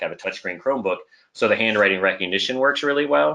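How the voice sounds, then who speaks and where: The man's voice has a bright, sharp tone. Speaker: maths teacher presenting edtech. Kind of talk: webinar presentation. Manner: fast; animated.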